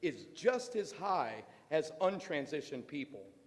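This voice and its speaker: Loud speech at a moderate pace, with very wide pitch swings. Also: man. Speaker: parent speaking at public comment. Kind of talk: public comment at school board meeting. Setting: school board meeting, speaking at a microphone.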